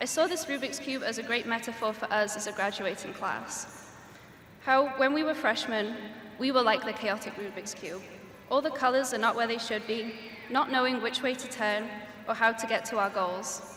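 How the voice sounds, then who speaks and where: Over noticeable background noise and audible room echo, a woman with a Welsh accent talks at a moderate pace with ordinary pitch variation. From Wales. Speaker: graduating student speaker. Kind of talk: commencement speech. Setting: graduation ceremony stage with audience.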